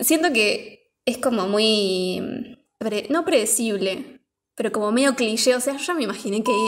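Pitched fairly high, a woman with a Rioplatense accent speaks very slowly. Her pitch varies in an ordinary way. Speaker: podcast co-host, film reviewer. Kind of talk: casual chat.

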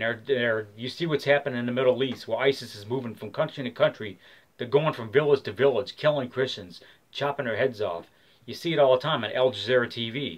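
Talking at a fairly quick pace with an American accent, a man shows ordinary pitch variation and big swings in loudness. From Michigan, US. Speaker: vlogger. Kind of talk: rally speech, angry rant to camera, urging an open carry protest. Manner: fiery, preachy, hard-hitting; emphatic, opinionated, rambling. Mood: angry, agitated. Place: home room. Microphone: webcam.

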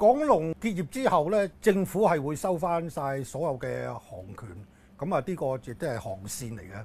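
A somewhat breathy man at a fairly slow pace, pitch swinging very widely, over light background noise. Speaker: aviation policy commentator. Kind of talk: interview. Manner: halting, many filler words. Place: office.

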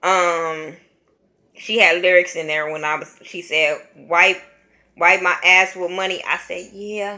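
A woman with an American accent speaks at a very slow pace and a fairly low pitch, in a bright, sharp tone with monotone, flat intonation. Her loudness swings widely over a quiet background. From California. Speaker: YouTube vlogger, music reviewer. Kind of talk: casual album review vlog. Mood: relaxed, amused. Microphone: webcam.

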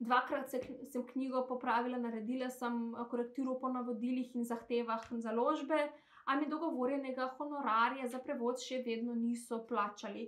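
A woman speaks in a Macedonian accent against a quiet background. Her voice sits high, with flat, monotone intonation. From North Macedonia, Skopje; North Macedonia. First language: Macedonian (speaking Slovenian). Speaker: translator. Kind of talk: testimony. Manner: halting. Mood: calm, somewhat hesitant. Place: home room. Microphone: phone near.

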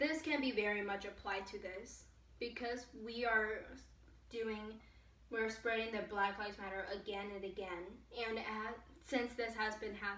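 Recorded with audible room echo, a woman speaks at a medium pitch with fairly even intonation. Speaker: vlogger. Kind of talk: casual talk to camera. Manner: hesitant, stuttering. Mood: earnest, emotional. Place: home room. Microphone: camera far.

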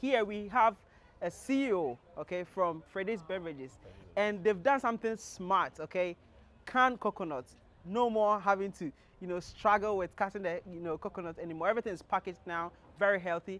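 Speaking at a fairly quick pace, a man with a high pitch shows ordinary pitch variation in a dry sound with no echo. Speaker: show host. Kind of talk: presenter intro to camera. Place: street. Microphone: lapel.

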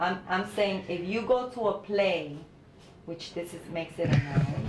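Noticeable background noise runs beneath a woman speaking at a fairly slow pace. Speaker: literacy tutor. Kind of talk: one-on-one tutoring. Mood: patient, instructive. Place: office.

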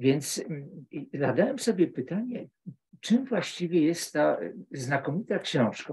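A man speaks at a fairly slow pace in a somewhat breathy voice with lively intonation. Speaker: literature professor. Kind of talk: academic book discussion. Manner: halting.

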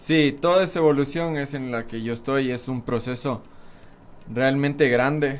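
Fairly even intonation carries a man's speech at a fairly slow pace. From Ecuador, Pichincha (Quito area). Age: 20s. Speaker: BMX racer; guest. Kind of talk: interview. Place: studio. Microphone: studio mic.

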